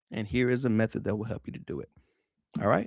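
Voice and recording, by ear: A man, recorded in a dry, close sound with no echo.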